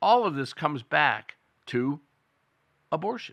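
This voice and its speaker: A man speaks fairly slowly with very wide pitch swings. The background is quiet. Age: 60s. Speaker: political commentary show host. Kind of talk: opinion monologue.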